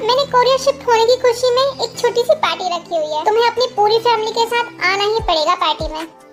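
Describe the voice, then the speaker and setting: A woman uses a put-on character voice at a fairly quick pace with hardly any pauses. Clear music plays in the background. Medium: read story. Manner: smooth, formal.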